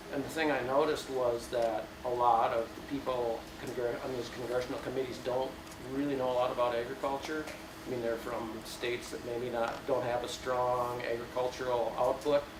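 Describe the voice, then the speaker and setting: Amid noticeable background noise and audible room echo, a man speaks at a medium pitch and a moderate pace in a monotone, flat intonation. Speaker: organic dairy farmer. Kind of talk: panel talk. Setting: panel with audience. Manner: hesitant, many fillers.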